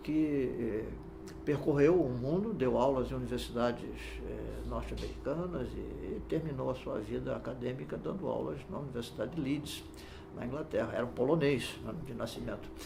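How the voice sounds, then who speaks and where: Noticeable noise sits behind a man talking at an even, middling speed, and the room adds an audible echo. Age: 70s. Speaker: law professor and judge. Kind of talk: interview. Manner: halting, many fillers.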